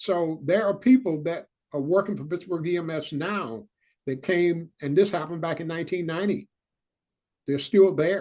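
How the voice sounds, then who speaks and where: This man has a high pitch and an American accent. He talks at a moderate pace with ordinary pitch variation. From US South. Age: 70s. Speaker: retired EMS chief, paramedic pioneer. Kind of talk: panel Q&A testimony.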